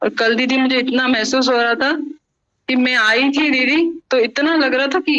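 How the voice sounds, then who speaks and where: A woman speaks at a moderate pace in a high pitch. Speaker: devotee at satsang. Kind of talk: testimony.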